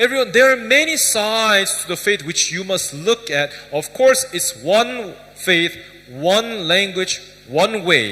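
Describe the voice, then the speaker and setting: Lively intonation runs through speech at a fairly slow pace, with noticeable background noise behind it. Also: man, high pitch for a man. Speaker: pastor. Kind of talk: sermon. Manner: soft-spoken.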